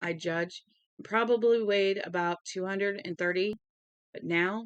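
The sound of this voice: An unforced reading voice with ordinary pitch variation plays over a quiet background.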